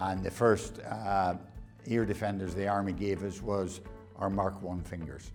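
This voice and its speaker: A man's fairly low voice with fairly even intonation, with music in the background. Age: 70s. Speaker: army veteran. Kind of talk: interview answer.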